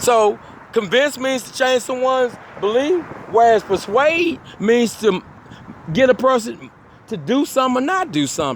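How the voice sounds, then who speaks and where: Long, frequent pauses break up speech delivered at a moderate pace. Behind it there is noticeable background noise. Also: man, extremely high pitch for a man. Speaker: self-styled prophet and litigant. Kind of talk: personal monologue commentary. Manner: halting, repeats words.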